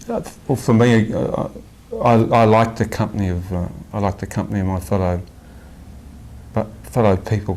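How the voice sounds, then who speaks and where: Over noticeable background noise, a man with an Australian accent talks at a moderate pace in a fairly low voice with ordinary pitch variation. Long pauses break up his speech often. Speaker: spiritual devotee. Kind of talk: interview. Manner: halting, many repetitions.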